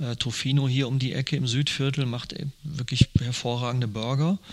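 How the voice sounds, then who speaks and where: A man with a normal speaking voice. He speaks at medium pitch with fairly even intonation. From Ruhr area, Germany. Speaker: wine merchant. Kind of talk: interview. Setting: at his wine shop.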